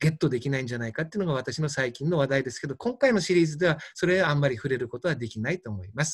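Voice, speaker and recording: Somewhat breathy, a man with a fairly high voice is heard on a very clean recording with a silent background. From Fukushima, Japan. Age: 60s. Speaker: doctor. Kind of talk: lecture.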